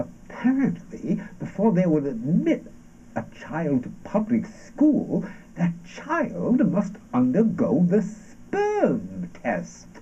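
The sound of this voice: Putting on a character voice, a man speaks slowly at a fairly high pitch, with very wide pitch swings and a dark, mellow tone.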